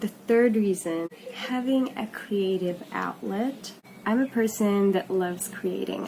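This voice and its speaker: There is noticeable background noise. A woman speaks at a very slow pace. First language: not English. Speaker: vlogger. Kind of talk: casual vlog talk.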